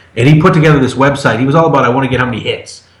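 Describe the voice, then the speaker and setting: Audible room echo surrounds a man's voice. Noticeable noise is also present. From Massachusetts. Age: 40s. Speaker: podcast guest. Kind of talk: casual chat.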